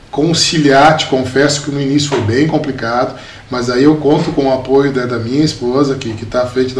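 With noticeable background noise and audible room echo, a man speaks at a moderate pace and medium pitch in monotone, flat intonation. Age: 40s. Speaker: municipal secretary and entrepreneur. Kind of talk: interview. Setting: studio.

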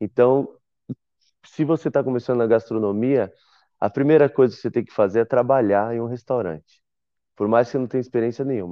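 Speaking fairly quickly at a medium pitch, a man leaves long, frequent pauses. His loudness swings widely while his pitch variation stays ordinary. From Brazil, São Paulo. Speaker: chef. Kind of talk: interview. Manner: casual.

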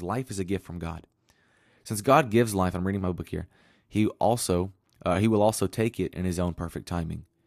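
Recorded very cleanly against a silent background with a dry, close sound and no echo, a man speaks at a fairly low pitch with ordinary pitch variation. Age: 20s. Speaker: youth pastor and school teacher. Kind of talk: sermon. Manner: casual.

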